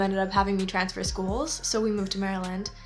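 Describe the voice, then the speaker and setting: Music plays in the background as a woman speaks very fast at a medium pitch. Her intonation is monotone and flat. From North America, mixed (Canada, US, US South). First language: Spanish. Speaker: YouTuber. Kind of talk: personal storytelling monologue. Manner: casual, conversational.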